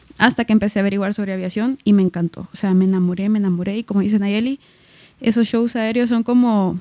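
With a dark, mellow tone and a medium pitch, a woman speaks with fairly even intonation in a dry, close sound with no echo. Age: 20s (22). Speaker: student pilot. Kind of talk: casual interview.

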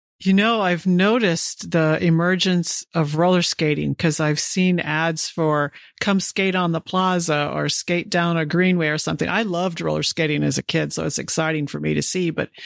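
Unremarkable speaking voice from a woman, fairly low in pitch, with an American accent, ordinary pitch variation and a moderate pace, in a dry, close sound with no echo on a very clean recording with a silent background. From St. Louis area, US Midwest. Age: 50s. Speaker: podcast host, retired astronaut. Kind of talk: interview.

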